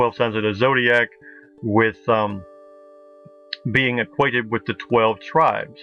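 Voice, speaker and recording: Music plays in the background as a man speaks. His pitch is medium and his intonation fairly even. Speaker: video essayist on ancient texts. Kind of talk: narrated slideshow commentary. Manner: halting, many fillers and restarts.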